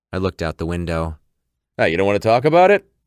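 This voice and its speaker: Gruff and very deep, a man's put-on character voice rushes at a very fast pace, recorded dry and close with no echo. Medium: read story. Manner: gruff, impatient.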